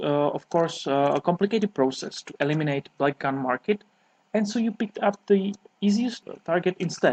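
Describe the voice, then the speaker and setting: Speaking with a Czech accent, a man uses a high pitch and lively intonation. His pace is moderate. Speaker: sport shooter. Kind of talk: reading aloud. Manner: formal.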